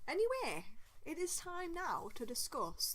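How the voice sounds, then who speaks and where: Audible room echo is present in the recording. The speaker is a woman. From northeast England, Durham area. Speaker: podcast co-host. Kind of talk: casual chat.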